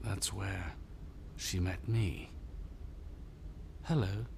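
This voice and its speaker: Loud background noise sits behind a man doing a put-on character voice. His pitch is very deep and low. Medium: short film. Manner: quiet, measured.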